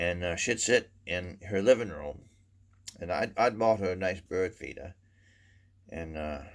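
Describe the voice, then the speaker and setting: Man with a Maine accent and a very deep, low voice, ordinary pitch variation, big swings in loudness, a fairly slow pace, long, frequent pauses, and a very clean recording with a silent background. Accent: Downeast Maine. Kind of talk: humorous storytelling to camera. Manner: casual, rambling.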